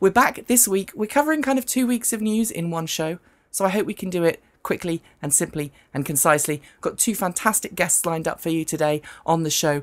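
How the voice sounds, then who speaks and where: On a very clean recording with a silent background, a woman with a British accent speaks fairly quickly in a husky, fairly low voice with lively intonation. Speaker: news panel show host. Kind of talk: talk show. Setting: studio, live stream.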